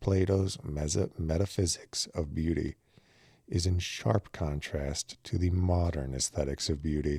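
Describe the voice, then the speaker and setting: A man speaks with a very deep, low pitch and a dark, mellow, calm tone, somewhat breathy, with ordinary pitch variation. His fairly slow delivery stays very even in loudness on a very clean recording with a silent background. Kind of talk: audiobook reading of a philosophy text. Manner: slow, calm, measured.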